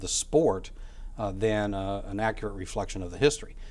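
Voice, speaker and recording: The speaker is a man. His pitch sits at a medium level. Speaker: author and academic. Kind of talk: interview. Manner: halting, many fillers.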